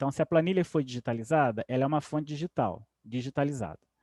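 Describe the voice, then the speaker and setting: In a dry, close sound with no echo and a quiet background, a man with a fairly high pitch and a dark, mellow tone talks at a fairly quick pace. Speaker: professor. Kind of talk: lecture.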